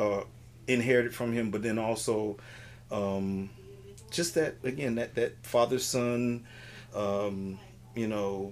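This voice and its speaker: A man with an American accent at medium pitch, very slow in pace with ordinary pitch variation, over noticeable background noise. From Miami, Florida (Richmond Heights). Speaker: improv comedian. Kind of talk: casual interview chat.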